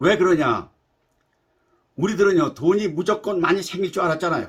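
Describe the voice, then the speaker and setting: A man speaks at a high pitch. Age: 80s+. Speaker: YouTuber. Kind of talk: monologue talk.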